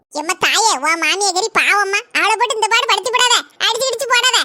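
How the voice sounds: Doing a cartoonish character voice, a woman speaks at an extremely high pitch and moderate pace. Her loudness is very even, with ordinary pitch variation.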